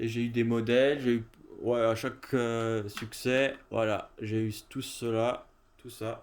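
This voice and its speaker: At a very slow pace, a man speaks at a medium pitch in a monotone, flat way. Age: 20s. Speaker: gaming youtuber. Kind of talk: casual gameplay commentary. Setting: at home in his gaming room. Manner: halting, many fillers.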